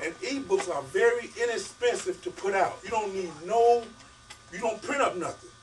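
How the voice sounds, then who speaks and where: A man's voice over music in the background. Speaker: author. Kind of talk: talk to an audience. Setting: bookstore event with audience. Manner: fast; casual, vernacular.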